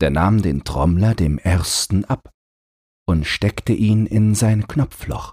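This man has a low pitch, a slightly mellow tone with a slightly husky edge, ordinary pitch variation and a slow pace.

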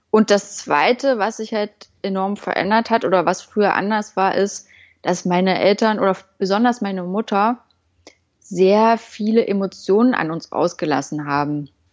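A woman has a plain, everyday voice at a medium pitch, with ordinary pitch variation and a moderate pace against a quiet background. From eastern Germany, Halle an der Saale. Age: 20s. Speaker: communication workshop leader. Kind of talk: casual interview.

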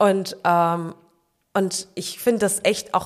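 A woman's medium-pitched voice in a flat monotone. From Frankfurt, Germany. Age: 20s. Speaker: long jumper. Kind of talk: casual interview chat.

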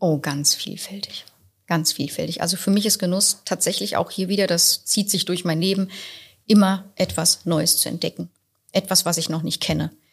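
With vocal fry and a fairly low pitch, a woman speaks at a moderate pace and with fairly even intonation in a very clean recording with a silent background. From Berlin. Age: young. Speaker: restaurant owner. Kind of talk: podcast interview. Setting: in her restaurant.

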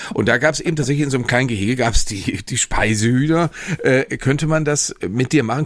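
A man speaks very fast at a medium pitch. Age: middle-aged. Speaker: podcast co-host. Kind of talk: casual chat. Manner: halting, many fillers and repetitions.

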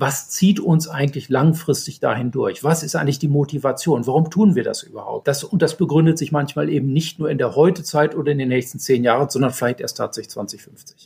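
Somewhat breathy and fairly high-pitched, a man speaks with ordinary pitch variation and hardly any pauses. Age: 60s. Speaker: hydrogen energy systems engineer. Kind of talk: interview. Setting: podcast recording. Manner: hesitant with fillers.

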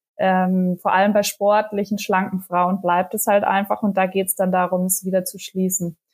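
A woman speaks at a moderate pace and medium pitch with flat, monotone intonation and big swings in loudness, in a very clean recording with a silent background. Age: 30s. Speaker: mother of two sharing postpartum experience. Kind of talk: casual interview chat. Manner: hesitant, many filler sounds.

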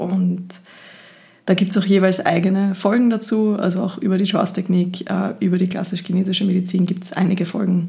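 In an Austrian accent, a somewhat breathy voice with a dark, mellow tone speaks at a fairly quick pace in a monotone, flat intonation, with audible room echo. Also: woman, medium pitch for a woman. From Austria, Linz (Upper Austria). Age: 30s. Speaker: podcast host, equine therapist and marketer. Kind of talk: solo podcast monologue.

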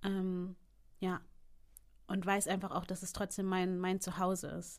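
The woman's voice sits at medium pitch. She keeps a moderate pace. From Hamburg, northern Germany. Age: 30s. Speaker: entrepreneur. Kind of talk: interview.

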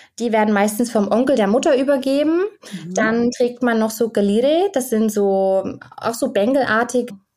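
Her pitch fairly high and varying in an ordinary way, a woman speaks at a moderate pace in a dark, mellow tone. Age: 20s. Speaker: medical student, guest expert on Indian weddings. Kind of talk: interview. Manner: halting, many fillers.

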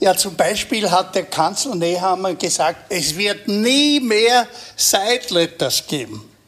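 Over noticeable background noise, a man speaks with lively intonation. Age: 80s+. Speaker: veteran political journalist. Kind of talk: live panel discussion.

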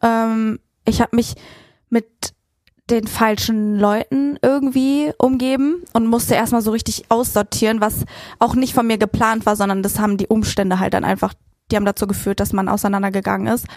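A woman with an unremarkable speaking voice talks at a moderate pace with a fairly high pitch and ordinary pitch variation, in a dry, close sound with no echo. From Frankfurt, Germany. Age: 20s. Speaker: influencer. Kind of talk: casual chat.

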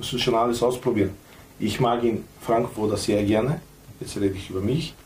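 Noticeable background noise sits behind a man with a Macedonian accent. He talks at a fairly quick pace, at medium pitch, with fairly even intonation. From North Macedonia. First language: Macedonian (speaking German). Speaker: former footballer, coach and club owner. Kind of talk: casual chat.

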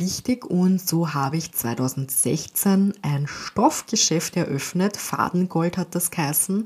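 A woman with an Austrian accent speaks at a very slow pace, fairly low in pitch and somewhat breathy. Her ordinary pitch variation comes through in a very clean recording with a silent background. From Austria, St. Pölten (Lower Austria). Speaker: animal communicator and podcast host. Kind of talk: personal monologue.

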